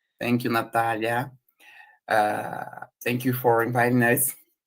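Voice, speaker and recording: Speaking with a Portuguese accent, a man uses a medium pitch and a bright, sharp tone. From Brazil. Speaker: researcher. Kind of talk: conference presentation.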